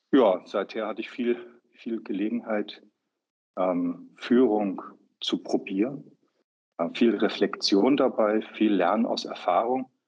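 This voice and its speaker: Pausing long and often, a man speaks at a very slow pace in a medium pitch. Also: ordinary pitch variation. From northern Germany, Hamburg. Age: 50s. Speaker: healthcare management consultant. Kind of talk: interview conversation. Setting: studio. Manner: halting, many fillers.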